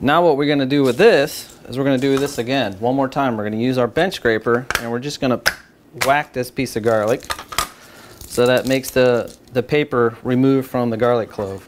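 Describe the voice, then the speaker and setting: Fairly even male intonation against noticeable background noise. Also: moderate pace. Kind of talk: tutorial. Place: kitchen.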